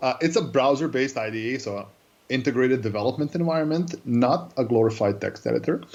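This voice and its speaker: A man speaks very fast with a Serbian accent. His pitch is medium, with ordinary variation. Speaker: cloud developer advocate. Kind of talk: interview. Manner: hesitant, many fillers.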